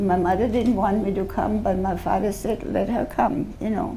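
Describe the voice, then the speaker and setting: Audible room echo surrounds a woman with a German accent and ordinary pitch variation. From Austria, Vienna. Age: 90s. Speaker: Holocaust-era survivor speaker. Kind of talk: testimony to school students. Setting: school assembly with students.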